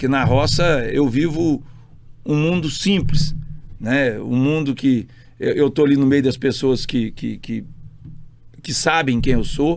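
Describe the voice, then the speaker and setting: A man's fairly high, fairly even voice at a very slow pace, with long, frequent pauses. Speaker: state politician. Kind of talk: casual interview chat. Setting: podcast studio. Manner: loud; forceful, sounds like arguing.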